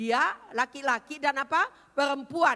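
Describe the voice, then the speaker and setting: A raised, projected voice at a fairly slow pace. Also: woman. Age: 70s. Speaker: pastor. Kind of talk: sermon. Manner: animated.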